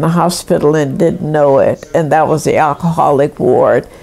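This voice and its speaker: A woman's voice over noticeable background noise. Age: 80s+. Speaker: retired nurse. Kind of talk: life story interview. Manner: conversational.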